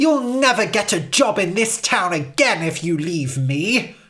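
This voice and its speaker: A woman performs a put-on character voice at a medium pitch with very wide pitch swings. She keeps a moderate pace. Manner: menacing, theatrical.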